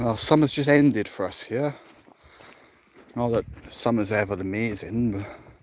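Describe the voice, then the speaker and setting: A man with a South Welsh accent at a medium pitch and moderate pace, ordinary pitch variation, long and frequent pauses. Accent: South Welsh valleys. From South Wales, the valleys. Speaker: security officer vlogger. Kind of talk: casual walking vlog chat. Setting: outdoors, walking through dark forest at night.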